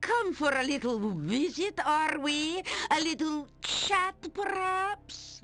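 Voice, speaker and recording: A put-on character voice, pitched high and delivered at a very slow pace. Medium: actual play. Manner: mocking, taunting.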